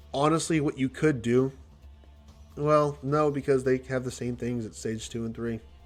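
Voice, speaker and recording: A man talks at a fairly quick pace at a medium pitch, with ordinary pitch variation. Music plays in the background. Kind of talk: casual gaming commentary livestream. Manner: slurred.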